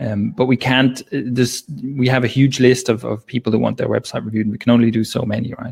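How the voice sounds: Speaking fairly quickly, a man has a medium-pitched, slightly mellow voice with vocal fry, a slightly husky edge and little pitch movement.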